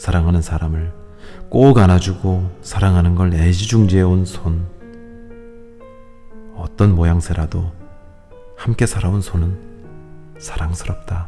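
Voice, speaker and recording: Over music in the background, a man with a very deep, low pitch speaks at a very slow pace with fairly even intonation. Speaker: audiobook reader. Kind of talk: audiobook reading of a self-help book. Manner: soft, calm, ASMR-style reading.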